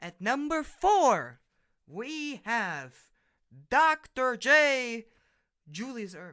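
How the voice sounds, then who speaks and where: Raised, projected male speech, bright and sharp in tone. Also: very clean recording, silent background. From Germany. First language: German. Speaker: podcast host. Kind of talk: casual monologue. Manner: halting.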